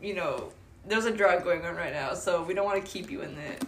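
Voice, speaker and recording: Against noticeable background noise, a woman talks at a very fast pace with a medium pitch and ordinary pitch variation. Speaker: college student podcast co-host. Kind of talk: casual chat.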